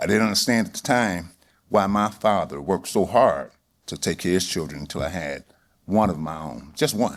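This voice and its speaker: A man with a normal speaking voice talks at a fairly quick pace, fairly low in pitch and with lively intonation. The recording is very clean, with a silent background. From Detroit, Michigan. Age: 60s. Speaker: auto industry worker. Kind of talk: personal reflection speech. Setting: stage with audience.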